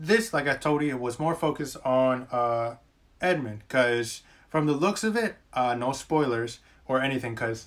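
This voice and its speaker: At a moderate pace, a man speaks with pitch that moves in an ordinary way. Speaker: anime reviewer. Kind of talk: casual vlog commentary. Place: home room. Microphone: webcam.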